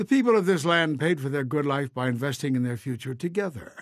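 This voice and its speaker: A man with a plain, everyday voice, fairly high in pitch, with lively intonation at a moderate pace. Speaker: narrator. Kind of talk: storybook-style narration for animated short.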